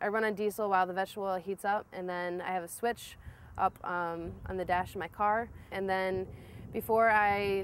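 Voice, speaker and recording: A woman's flat, monotone delivery with a Midwestern American accent. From US Midwest, Toledo, Ohio. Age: 20s. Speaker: vegetable-oil car road-tripper. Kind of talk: documentary interview. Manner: casual, some hesitations.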